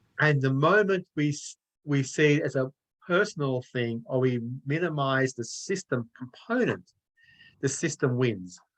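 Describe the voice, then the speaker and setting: A man with an Australian accent, at a fairly slow pace, lively in intonation, with a dry, close sound and no echo. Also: fairly high pitch for a man. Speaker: author and anti-racism consultant. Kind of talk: online discussion.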